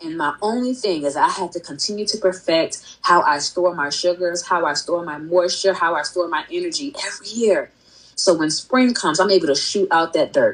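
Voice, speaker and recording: Woman's voice, fairly low pitch, ordinary pitch variation, moderate pace with hardly any pauses, noticeable background noise. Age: 30s. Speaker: entrepreneur and gardener. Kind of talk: casual chat.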